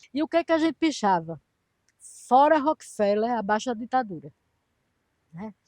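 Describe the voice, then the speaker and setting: A woman with a high pitch makes very wide pitch swings at a moderate pace, with long, frequent pauses, in a dry, close sound with no echo. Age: 70s. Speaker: retired economist, former political prisoner. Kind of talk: interview testimony. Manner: halting, with repetitions.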